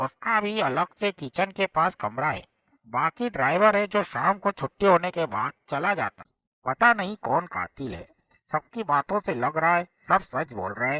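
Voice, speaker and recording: A cartoonish character voice from a man, high-pitched with very wide pitch swings, at a moderate pace in a dry, close sound with no echo. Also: big swings in loudness. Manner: respectful, deferential.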